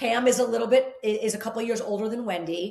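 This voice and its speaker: A woman with an American accent speaks at a fairly quick pace in an animated tone, her pitch varying in an ordinary way. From New Jersey. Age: 50s. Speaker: fitness instructor. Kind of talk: casual chat.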